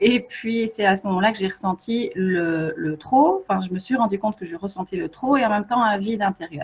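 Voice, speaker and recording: A woman at a medium pitch with ordinary pitch variation and a fairly quick pace, over noticeable background noise. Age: 40s. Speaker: feng shui coach and author. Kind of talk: online workshop presentation. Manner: hesitant, many fillers.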